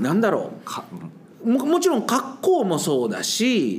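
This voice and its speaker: A man at a fairly slow pace with very wide pitch swings, amid noticeable background noise and audible room echo. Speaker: science teacher. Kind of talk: casual interview chat. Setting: sharing one microphone in a studio. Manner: laughs often.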